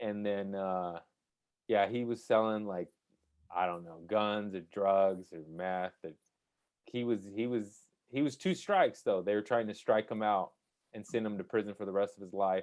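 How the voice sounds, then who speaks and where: This man's voice is fairly low in pitch. He talks at a moderate pace. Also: fairly even intonation, big swings in loudness. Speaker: stand-up comedian. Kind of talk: casual chat. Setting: podcast interview. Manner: halting, lots of restarts.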